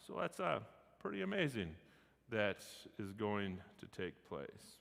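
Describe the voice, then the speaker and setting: A man is speaking. His voice has vocal fry. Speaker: pastor. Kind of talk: bible class teaching. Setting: livestreamed class.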